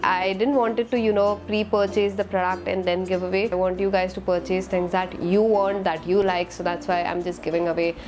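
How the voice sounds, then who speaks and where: A woman talks at a fairly quick pace, with hardly any pauses and fairly even intonation. Clear music sounds in the background. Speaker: beauty vlogger. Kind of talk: casual vlog chat. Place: home room. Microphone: lapel.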